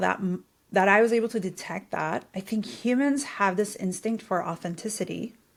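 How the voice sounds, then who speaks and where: Here a woman talks with a non-native accent and vocal fry. The recording is very clean, with a silent background. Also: hardly any pauses. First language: not English. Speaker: podcast host. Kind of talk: podcast interview. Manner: animated.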